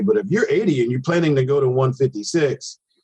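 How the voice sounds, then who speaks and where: This man's voice has a somewhat breathy quality. He talks very fast. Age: 60s. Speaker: podcast host. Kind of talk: interview conversation.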